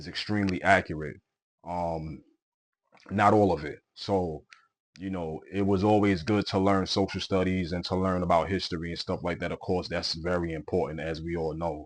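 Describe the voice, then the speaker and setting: Against a quiet background, a man speaks at a moderate pace with a very deep, low pitch and monotone, flat intonation. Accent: strong Brooklyn. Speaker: podcast host. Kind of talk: casual monologue. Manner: repetitive, hesitant with fillers.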